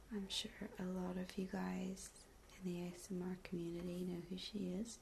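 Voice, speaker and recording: The voice is soft-spoken, with an American accent. It moves at a moderate pace. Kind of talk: ASMR soft-spoken chat.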